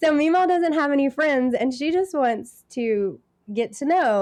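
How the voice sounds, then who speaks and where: Over a quiet background, a woman with an American accent speaks with very wide pitch swings. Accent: Texas, noticeable at times. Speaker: cleaning business owner. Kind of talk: casual interview chat.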